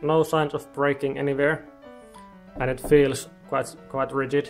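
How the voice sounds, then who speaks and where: Faint music plays in the background. A man speaks at a fairly slow pace. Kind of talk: casual build vlog. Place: home room. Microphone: phone near.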